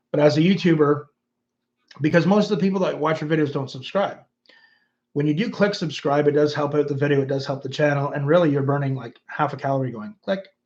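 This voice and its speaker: Speaking very fast with a Canadian accent, a man uses a fairly high, somewhat breathy voice with ordinary pitch variation. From Canada. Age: 50s. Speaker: YouTuber and former musician. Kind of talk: livestream chat reading comments. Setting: livestream.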